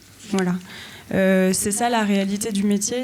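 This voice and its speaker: A woman at a medium pitch, very slow and fairly even in intonation, with audible room echo. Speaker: arts mediation professional. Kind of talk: panel discussion.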